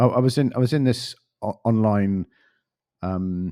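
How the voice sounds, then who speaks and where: In a very clean recording with a silent background and a dry, close sound with no echo, a man speaks in a dark, mellow tone with ordinary pitch variation. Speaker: podcast host. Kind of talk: podcast interview. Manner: rambling, repetitive.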